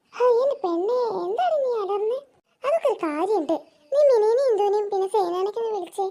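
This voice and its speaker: Lively intonation drives this cartoonish character voice. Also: woman, extremely high pitch for a woman, moderate pace. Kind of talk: cartoon voice acting.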